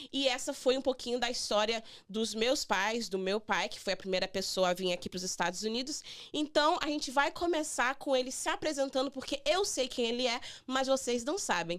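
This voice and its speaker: Her intonation is lively and her pitch is high for a woman. This woman keeps a moderate pace. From Brazil. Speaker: immigration lawyer hosting radio show. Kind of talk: radio interview with guest. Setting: radio studio.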